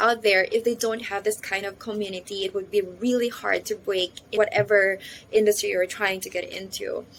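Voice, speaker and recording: A woman talks at a medium pitch and a moderate pace. Her intonation stays monotone and flat. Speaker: voice acting trainee vlogger. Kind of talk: vlog. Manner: casual code-switching.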